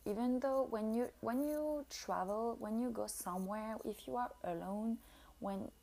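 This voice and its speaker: Speaking with a French accent, a woman uses a fairly high pitch and lively intonation at a fairly slow pace. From France. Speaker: podcast host. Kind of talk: solo monologue podcast. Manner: halting, with many fillers.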